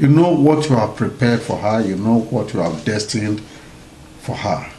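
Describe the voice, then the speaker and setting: Light background noise and audible room echo around a male voice. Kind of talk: prayer and blessing message. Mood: solemn, warm, prayerful. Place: home room. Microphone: webcam.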